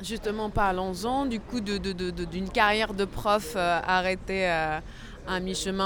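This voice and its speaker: A woman with an unremarkable speaking voice talks at medium pitch and a moderate pace, her intonation fairly even. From Morocco. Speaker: podcast host, interviewer. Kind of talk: interview conversation. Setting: café terrace.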